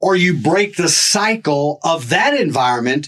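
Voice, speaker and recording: An unremarkable speaking voice from a man, fairly high-pitched, with lively intonation at a fairly slow pace. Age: 60s. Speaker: podcast guest. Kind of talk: interview testimony.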